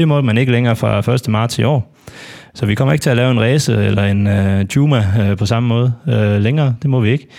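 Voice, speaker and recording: A man speaks at a fairly quick pace with a medium pitch, a dark, mellow tone, very even loudness and ordinary pitch variation. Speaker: football fan panelist. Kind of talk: casual football discussion. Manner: halting, many filler words.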